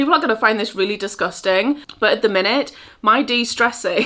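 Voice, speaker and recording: The recording is very clean, with a silent background. A woman with a Geordie accent speaks in a relaxed, bright, sharp tone with ordinary pitch variation. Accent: North East England (Geordie). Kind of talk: casual talk to camera. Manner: relaxed, chatty.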